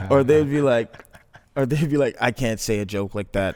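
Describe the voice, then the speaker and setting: A man with a Toronto accent, at a moderate pace with ordinary pitch variation. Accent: Canadian English (Toronto). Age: 20s. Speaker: filmmaker. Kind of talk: casual chat.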